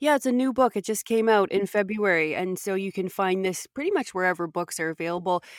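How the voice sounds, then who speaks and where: On a very clean, dry and close recording with a silent background and no echo, a woman with a Canadian accent talks very fast at a medium pitch, with ordinary pitch variation and hardly any pauses. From Canada. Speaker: podcast host. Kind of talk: interview. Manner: animated.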